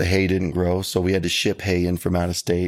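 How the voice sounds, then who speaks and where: A man with a Texan accent speaks at a fairly quick pace in a very deep, low pitch, in a very clean recording with a silent background. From South Texas (Karnes County). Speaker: country singer-songwriter. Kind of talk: interview.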